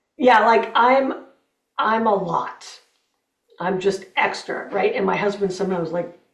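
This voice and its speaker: A woman at medium pitch and fairly slow pace, with ordinary pitch variation, long, frequent pauses and audible room echo. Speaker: healthcare marketing specialist. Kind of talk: casual chat. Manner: loud.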